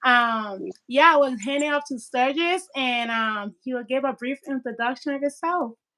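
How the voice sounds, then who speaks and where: Over a silent background in a very clean recording, a woman uses a raised, projected voice with a high pitch, bright, sharp tone, and ordinary pitch variation, keeping a moderate pace with hardly any pauses. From Liberia. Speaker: YouTube channel host, interviewer. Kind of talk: live-stream interview.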